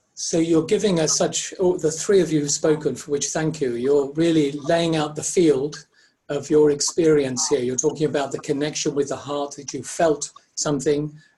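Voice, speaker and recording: A man with a fairly high pitch and a dark, mellow tone sounds somewhat breathy, speaking at a moderate pace with fairly even intonation. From Ireland. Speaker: facilitation trainer presenting a webinar. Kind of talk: interactive webinar presentation.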